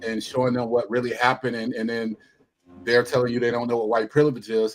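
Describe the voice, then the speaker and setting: The man's voice sits at a medium pitch. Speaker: panelist on discussion show. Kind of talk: panel discussion. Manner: quiet.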